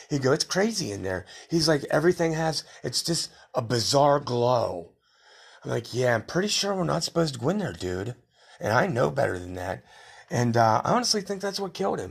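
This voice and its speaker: With vocal fry and very wide pitch swings, a man talks at a fairly quick pace in a fairly high pitch. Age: 50s. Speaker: podcaster telling life stories. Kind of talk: solo autobiographical monologue. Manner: casual, rambling with fillers.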